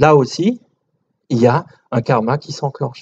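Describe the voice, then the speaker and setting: The voice belongs to a man and sits fairly high. Its sound is dry and close with no echo. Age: 60s. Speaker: lecturer on shamanism and spirituality. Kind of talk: lecture with audience Q&A. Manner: hesitant, many fillers.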